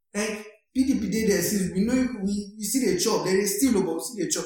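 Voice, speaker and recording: Amid noticeable background noise, a man with high pitch talks at a moderate pace. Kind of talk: casual banter chat.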